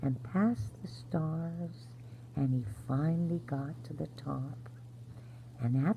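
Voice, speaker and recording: A soft-spoken, very slow voice with vocal fry and ordinary pitch variation. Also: woman. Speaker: grandmother-style bedtime storyteller. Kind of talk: sleep story. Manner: soft-spoken, gentle.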